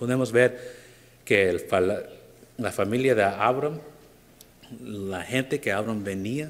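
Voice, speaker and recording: A man with an English accent speaks with long, frequent pauses. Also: medium pitch for a man, ordinary pitch variation, fairly slow pace. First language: English (speaking Spanish). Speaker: preacher. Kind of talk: sermon. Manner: halting.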